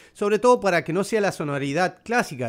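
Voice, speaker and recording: A man with a plain, everyday voice and lively intonation is heard in a very clean recording with a silent background. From Paraná, Entre Ríos, Argentina. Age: 50s. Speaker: musician and cultural manager. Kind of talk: casual interview.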